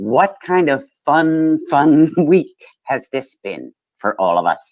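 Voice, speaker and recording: Very slowly, a woman speaks at a very deep, low pitch with vocal fry. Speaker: comedian. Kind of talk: stand-up.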